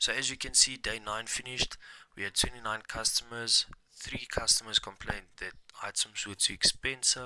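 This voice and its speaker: This man has a medium pitch and a bright, sharp tone, with fairly even intonation. He talks at a moderate pace while his loudness swings a lot. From South Africa, Mpumalanga. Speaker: gaming streamer. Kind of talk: gameplay commentary. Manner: casual, halting with fillers; quiet at times.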